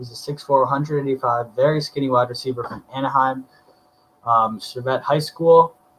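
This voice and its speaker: A man with an unremarkable speaking voice at medium pitch and with ordinary pitch variation. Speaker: sports podcaster. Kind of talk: solo podcast commentary.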